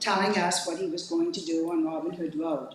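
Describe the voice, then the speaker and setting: A woman speaks at a fairly slow pace with lively intonation. Noticeable background noise and audible room echo fill the recording. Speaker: resident speaking at public hearing. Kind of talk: public comment at meeting. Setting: public meeting at podium.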